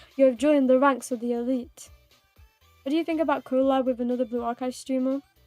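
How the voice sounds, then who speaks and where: With music in the background, a woman's high voice rattles along at a very fast pace, her intonation monotone and flat but her tone playful. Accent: British. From United Kingdom. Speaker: vtuber streamer. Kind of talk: casual livestream gaming chat. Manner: chatty, playful.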